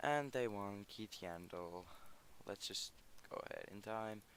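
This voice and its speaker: A man with a Finnish accent talks at a fairly slow pace. His pitch is fairly low. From Finland. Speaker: gaming YouTuber. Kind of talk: gameplay commentary. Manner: halting.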